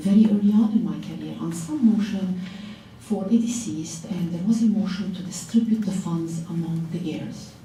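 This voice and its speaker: The clip has audible room echo, noticeable background noise and big swings in loudness. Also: woman, medium pitch for a woman, ordinary pitch variation, moderate pace. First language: not English (English is third language). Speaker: lawyer, law firm owner. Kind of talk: panel talk to law students.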